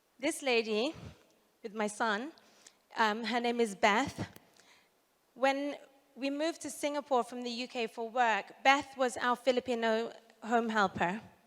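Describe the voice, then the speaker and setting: At a fairly slow pace with long, frequent pauses, a woman with a British accent speaks at a high pitch. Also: ordinary pitch variation, big swings in loudness. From UK. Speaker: social entrepreneur. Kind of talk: conference talk.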